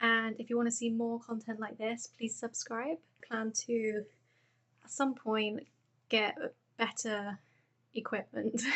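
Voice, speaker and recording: A woman with a British accent speaks at a fairly high pitch in a monotone, flat intonation. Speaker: crochet vlogger. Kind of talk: casual vlog tutorial. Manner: soft-spoken; hesitant, with frequent fillers. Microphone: phone microphone.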